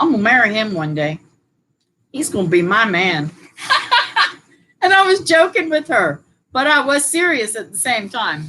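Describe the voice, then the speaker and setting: An animated woman's voice, fairly high and bright with a sharp edge, swinging very widely in pitch at a moderate pace, broken by long, frequent pauses. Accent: American. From Florida, Brevard County. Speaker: homestead channel co-host. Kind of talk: casual chat. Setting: live stream at home.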